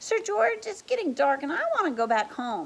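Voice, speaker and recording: A woman puts on a character voice, pitched high with very wide swings and delivered at a moderate pace. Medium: read story.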